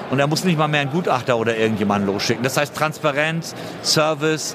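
Noticeable background noise sits behind a man's voice. He speaks at a moderate pace with a fairly high pitch. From Hamburg, northern Germany. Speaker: insurance startup founder. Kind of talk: conference interview. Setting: trade fair floor.

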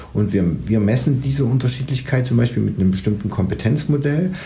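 A man speaks with lively intonation. Audible room echo and noticeable background noise accompany him. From Saxony, Leipzig. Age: 40s. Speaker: managing director of a family business. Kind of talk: interview. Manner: halting, many fillers and restarts.

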